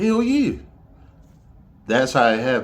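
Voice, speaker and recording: A man's high-pitched voice with an American accent at a moderate pace. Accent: Southern US accent, noted by others. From Detroit, Michigan (US). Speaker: podcast host. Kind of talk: casual monologue. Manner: animated.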